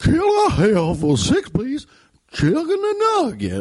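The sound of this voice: A man in a put-on character voice, extremely high in pitch, at a very slow pace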